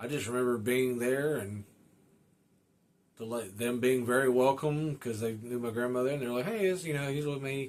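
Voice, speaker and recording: A man with an ordinary speaking voice and a medium pitch talks at a moderate pace with ordinary pitch variation. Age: 30s. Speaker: motorcycle podcast host. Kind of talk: casual monologue. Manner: casual, many fillers.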